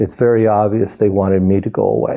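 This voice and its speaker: A man's fairly low voice, dark and mellow in tone, with vocal fry. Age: 60s. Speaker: cannabis advocate facing criminal charges. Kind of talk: testimony.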